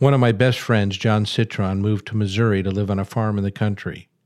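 Here a man with an American accent has an ordinary speaking voice. His pitch is fairly low and his pace moderate. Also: very clean recording, silent background. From Chicago. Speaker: columnist and author. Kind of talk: reading aloud from his book.

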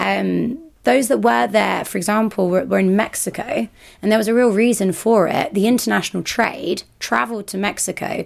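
A woman speaks at medium pitch and a moderate pace, with lively intonation and vocal fry. The recording is very clean, with a silent background. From France (Burgundy), Colombian father, British mother. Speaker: drinks brand ambassador. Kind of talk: interview.

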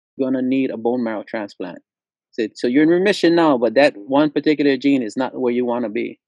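Speaking very fast, a man talks with a Hawaiian accent. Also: medium pitch for a man, ordinary pitch variation. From Hawaii, Lanai. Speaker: musician and music teacher. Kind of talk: casual chat.

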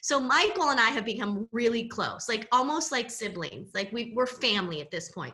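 A woman with an American accent talks in an ordinary speaking voice at a fairly high pitch and moderate pace, with hardly any pauses, big swings in loudness and lively intonation. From Southern California. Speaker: personal branding coach. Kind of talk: casual interview chat.

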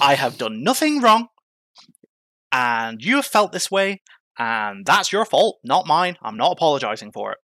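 An Irish accent at a moderate pace with a bright, sharp tone and very wide pitch swings, dry and close with no echo. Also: man, fairly high pitch for a man. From Ireland. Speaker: EMT. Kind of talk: interview, personal story.

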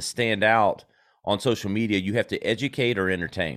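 The speaker is a man with a plain, everyday voice. His pitch sits fairly low and varies in an ordinary way. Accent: American. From South Carolina. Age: 40s. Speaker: marketing agency founder. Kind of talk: interview, casual chat.

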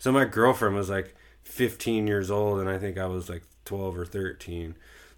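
The recording is very clean, with a silent background. A man with an American accent speaks at a fairly slow pace, his fairly low voice holding a fairly even intonation. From Southern California. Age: 30s. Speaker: podcast guest sharing life story. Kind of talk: casual chat.

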